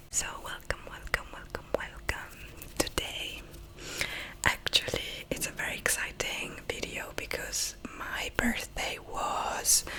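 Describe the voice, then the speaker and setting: A woman's whisper unfolds very slowly, with clear noise in the background. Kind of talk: ASMR book haul. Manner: whispered.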